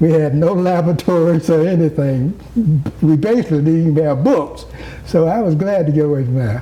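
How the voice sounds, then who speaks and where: Noticeable background noise and audible room echo surround a man whose fairly high voice holds a very even loudness. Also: ordinary pitch variation, fairly quick pace. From US South, rural Georgia. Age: 70s. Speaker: former mayor. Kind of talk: interview. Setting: at home.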